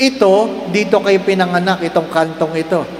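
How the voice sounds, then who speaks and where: A high-pitched male voice at a fairly slow pace, with audible room echo and noticeable background noise. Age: 60s. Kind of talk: sermon. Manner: animated.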